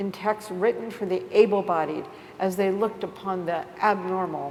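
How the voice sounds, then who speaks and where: A woman's medium-pitched, monotone voice at a fairly slow pace, with flat intonation and noticeable background noise. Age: 60s. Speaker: artist and writer. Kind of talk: reading aloud.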